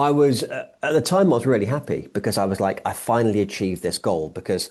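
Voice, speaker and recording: The speech races at a very fast pace with very wide pitch swings. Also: man, medium pitch for a man, quiet background. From England. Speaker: business founder. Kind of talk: podcast interview, personal story.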